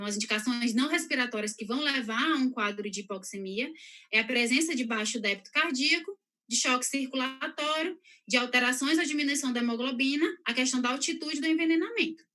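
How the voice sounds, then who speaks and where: A woman speaks in a raised, projected voice, high-pitched with a bright, sharp tone, ordinary pitch variation and a fairly quick pace. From northeastern Brazil, São Luís. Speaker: health professional giving a talk. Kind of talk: lecture. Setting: live stream. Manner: fast.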